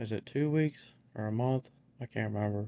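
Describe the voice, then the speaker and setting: In a dry, close sound with no echo, a man speaks at a medium pitch and a moderate pace with ordinary pitch variation. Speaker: vlogger sharing dental implant experience. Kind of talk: casual video vlog. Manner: halting with many fillers; slightly odd articulation.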